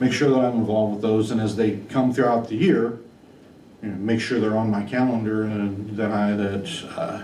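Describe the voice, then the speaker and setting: A man talks at a moderate pace with a fairly low pitch and fairly even intonation, amid noticeable background noise and audible room echo. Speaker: superintendent job candidate. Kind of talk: job interview.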